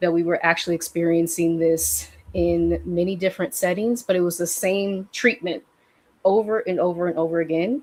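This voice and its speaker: A woman speaks at a moderate pace in a fairly low pitch with fairly even intonation. It is an unremarkable speaking voice. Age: 30s. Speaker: healing practitioner and coach. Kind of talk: casual conversation on a livestream. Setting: livestream.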